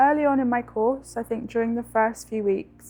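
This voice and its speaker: The speaker moves at a fairly quick pace with a London accent. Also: woman. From South London. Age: 20s. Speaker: university student. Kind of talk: personal testimony interview.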